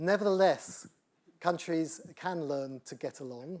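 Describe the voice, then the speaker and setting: The speaker has a British accent. Pitch varies in an ordinary way. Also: man. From United Kingdom. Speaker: engineering professor. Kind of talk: lecture Q&A.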